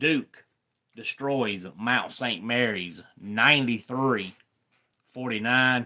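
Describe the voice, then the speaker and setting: Speaking in a Southern accent, a man uses a medium pitch and a bright, sharp tone, going at a very slow pace with ordinary pitch variation. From US Deep South. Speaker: sports YouTuber. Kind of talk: live stream sports talk. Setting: live stream. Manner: casual.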